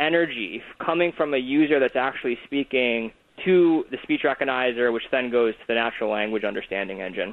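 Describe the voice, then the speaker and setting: A man's unremarkable speaking voice with ordinary pitch variation. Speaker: speech software company executive. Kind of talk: radio interview. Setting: phone call.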